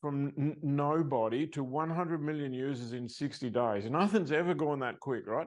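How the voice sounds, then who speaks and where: With an Australian accent, the speaker moves at a moderate pace and hardly pauses. Pitch varies in an ordinary way against a quiet background. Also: man, fairly high pitch for a man. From Australia, Sydney. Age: 70s. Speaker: success coach. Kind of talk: interview.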